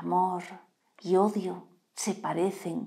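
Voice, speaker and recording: A woman speaks in a solemn tone with fairly even intonation against a quiet background. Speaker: poetry reader. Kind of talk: poetry reading, read aloud live. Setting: live stream. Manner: slow, measured, expressive reading with solemn pauses. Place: home room. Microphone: lapel.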